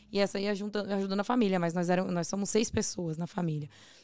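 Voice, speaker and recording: Recorded very cleanly against a silent background, a woman speaks at a medium pitch in an unremarkable speaking voice. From Brazil, Northeast. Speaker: ice pop business owner. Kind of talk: casual chat.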